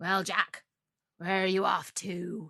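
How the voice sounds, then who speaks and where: A woman puts on a raspy character voice at a medium pitch with monotone, flat intonation, the sound dry and close with no echo. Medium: read story. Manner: sly, coaxing.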